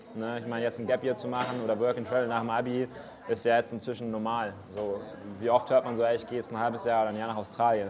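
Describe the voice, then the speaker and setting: Very fast, a man talks at a medium pitch. His intonation is monotone and flat. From Munich, Bavaria. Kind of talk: interview. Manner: casual.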